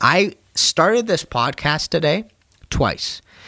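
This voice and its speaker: This man's pitch swings very widely. His voice carries vocal fry. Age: 30s. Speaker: plumber and podcaster. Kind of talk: casual monologue. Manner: casual, rambling.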